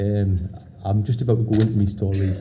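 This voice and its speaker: A man with a Sunderland accent speaks in a fairly low, somewhat breathy voice with a dark, mellow tone and flat, monotone intonation, and the room echo is audible. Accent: Mackem (Sunderland, north-east English). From northern England, Sunderland. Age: 30s. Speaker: conference speaker with PKU. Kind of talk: talk to an audience. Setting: stage with audience. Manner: hesitant, many fillers and repeats.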